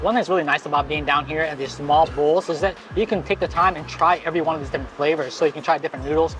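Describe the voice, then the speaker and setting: Speech at a very fast pace runs over music in the background. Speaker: food and travel vlogger. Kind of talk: casual food vlog commentary. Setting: restaurant in Bangkok.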